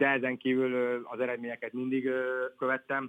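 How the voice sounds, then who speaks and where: A man speaks at a moderate pace. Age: 20s. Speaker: professional footballer. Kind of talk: interview. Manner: halting.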